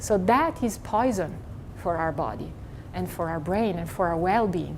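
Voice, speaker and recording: The speaker has an Italian accent and lively intonation at a moderate pace. Room echo is audible. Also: woman. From Italy. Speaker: meditation teacher. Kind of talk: talk to an audience.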